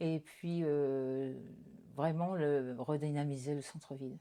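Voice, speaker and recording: A woman speaks at a very slow pace in a very deep, low voice with a dark, mellow tone. Her intonation stays fairly even. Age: 60s. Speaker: retired local candidate. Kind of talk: interview. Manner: halting, frequent hesitations.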